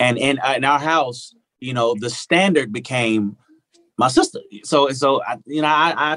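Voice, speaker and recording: A man's fairly high-pitched voice, bright and sharp, with a Southern US accent and ordinary pitch variation. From US South, Arkansas. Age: 40s. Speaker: singer-songwriter. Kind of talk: casual interview chat. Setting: home recording studio, remote.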